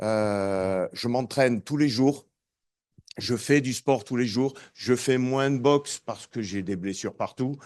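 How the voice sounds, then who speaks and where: Against a quiet background, a man speaks very slowly at a medium pitch with ordinary pitch variation. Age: 60s. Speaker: boxing coach. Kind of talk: testimony. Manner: casual, hesitant.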